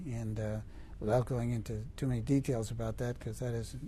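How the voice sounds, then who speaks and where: Audible room echo surrounds a man as he talks. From New York state, small town. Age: 70s. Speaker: federal appeals judge. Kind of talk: interview. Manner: halting.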